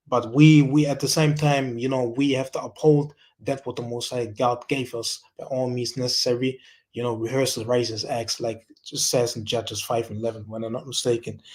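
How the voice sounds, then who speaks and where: A man talks fairly quickly at medium pitch in a monotone, flat intonation. His loudness swings widely. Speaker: religious speaker. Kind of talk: scripture teaching. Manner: halting, many fillers and repetitions.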